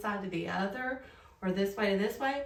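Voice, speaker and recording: A woman speaks with a Southern US accent. Her pace is fairly slow and her pitch variation ordinary. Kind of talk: casual talk to camera.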